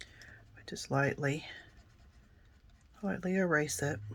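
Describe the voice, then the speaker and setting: Very slowly, a woman speaks in a raspy, very deep, low pitch, on a very clean recording with a silent background. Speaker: card-making crafter. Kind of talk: crafting tutorial. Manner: casual, chatty with fillers.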